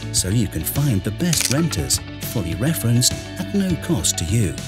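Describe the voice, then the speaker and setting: A man at a moderate pace over clear music in the background. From British. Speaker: voice actor. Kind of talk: explainer video narration. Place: studio. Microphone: studio mic.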